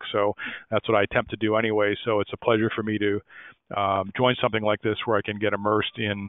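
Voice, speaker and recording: In an American accent, a man speaks very fast at a fairly low pitch with monotone, flat intonation. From United States. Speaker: industry analyst, webinar speaker. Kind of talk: webinar presentation. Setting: online webinar. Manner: halting, many fillers.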